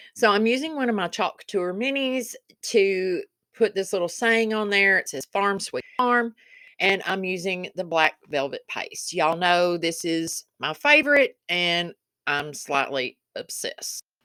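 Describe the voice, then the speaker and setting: Against a very clean, silent background, a woman with a Kentucky accent speaks at a fairly slow pace in a dry, close sound with no echo. Her medium-pitched voice has a bright, sharp tone and lively intonation. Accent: Southern US accent (Kentucky). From Kentucky, US South. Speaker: DIY crafts video creator. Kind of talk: craft tutorial voiceover. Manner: chatty, casual.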